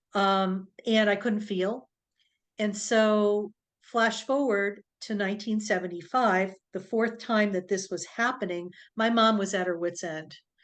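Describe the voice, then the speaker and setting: With a plain, everyday voice, a woman speaks fairly slowly in a medium pitch with fairly even intonation against a quiet background. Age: 60s. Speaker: doctor and intuitive healer. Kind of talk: interview, personal story.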